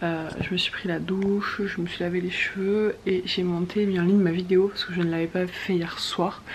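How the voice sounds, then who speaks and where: The speech runs with hardly any pauses in a monotone, flat intonation over noticeable background noise. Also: woman, medium pitch for a woman, moderate pace. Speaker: mother vlogger. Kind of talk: casual vlog talk to camera. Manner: hesitant fillers; soft-spoken.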